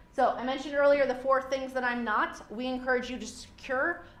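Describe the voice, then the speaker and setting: A woman speaks with a high pitch. Room echo is audible, and there is noticeable background noise. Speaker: small business consultant. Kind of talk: lecture. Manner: fast.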